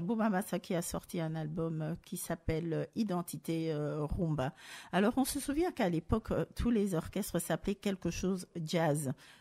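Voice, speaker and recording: A woman's dark, mellow voice, fairly low in pitch and fairly slow, with a dry, close sound, no echo, a very clean recording and a silent background. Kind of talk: radio show talk. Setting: studio.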